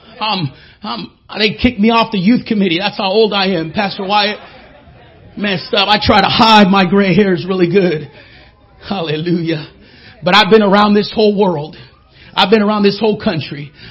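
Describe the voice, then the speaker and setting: The speaker is a man with a high pitch. He leaves long, frequent pauses amid noticeable background noise. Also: ordinary pitch variation, moderate pace. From Mexico. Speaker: guest preacher. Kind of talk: sermon. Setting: church with congregation. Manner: animated.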